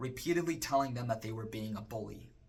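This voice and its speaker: A man with an American accent talks in a bright, sharp tone with lively intonation. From Arizona (Chandler). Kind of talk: personal testimony.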